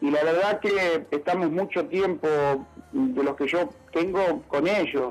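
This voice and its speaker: A high-pitched man at a very slow pace, lively intonation and very even loudness over noticeable background noise. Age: 60s. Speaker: factory owner and inventor. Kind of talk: radio interview. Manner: halting, many fillers.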